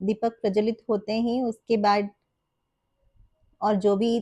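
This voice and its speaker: A woman speaks at a very slow pace with a fairly high pitch and a dark, mellow tone. Her intonation is monotone and flat, and the sound is dry and close with no echo. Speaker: homemaker, married. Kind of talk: casual vlog narration.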